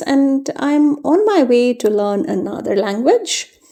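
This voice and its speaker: At a very slow pace, a woman with a Keralan accent speaks in a dark, mellow tone. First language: Malayalam. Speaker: journaling youtuber. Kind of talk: tutorial voiceover. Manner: casual, with frequent fillers.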